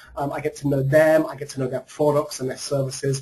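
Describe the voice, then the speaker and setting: With an American accent, a man talks in a fairly high, monotone voice with flat intonation. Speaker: marketing strategist and author. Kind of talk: webinar presentation. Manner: hesitant, frequent filler ums.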